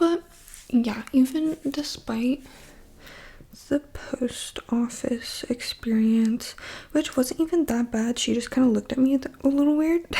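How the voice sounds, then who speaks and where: Whispering, a woman speaks at a fairly slow pace. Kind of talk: ASMR casual talk to camera. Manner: whispered.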